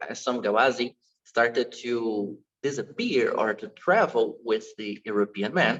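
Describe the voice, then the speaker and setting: A man with a Portuguese accent at a fairly slow pace. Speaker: dance teacher. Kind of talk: online lecture. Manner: halting.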